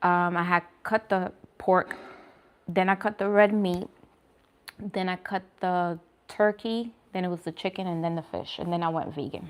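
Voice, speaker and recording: Speaking with a New York accent at a moderate pace, a woman keeps a medium pitch and monotone, flat intonation, with long, frequent pauses. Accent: New York accent, Bronx. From New York, the Bronx. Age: 30s. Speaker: vegan food vlogger. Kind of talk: casual chat with live viewers. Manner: casual, hesitant with fillers.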